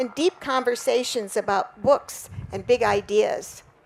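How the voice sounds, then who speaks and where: A woman's high voice at a very slow pace, with ordinary pitch variation and noticeable background noise. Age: 80s+. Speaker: son or daughter of a war pilot, book foreword writer. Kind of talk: interview; reading aloud.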